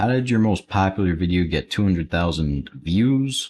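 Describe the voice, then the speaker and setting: This man's pitch is fairly low, with ordinary variation. The background is quiet. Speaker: Roblox Studio tutorial YouTuber, live streamer. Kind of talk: live stream, casual Q&A while building. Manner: quiet, low-energy.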